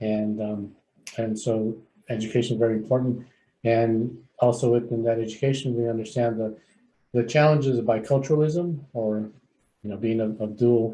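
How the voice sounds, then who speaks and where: A man's dark, mellow voice at a medium pitch, with a moderate pace and fairly even intonation. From San Fernando Valley, California. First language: Spanish. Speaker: clinical psychologist and agency CEO. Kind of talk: onboarding presentation.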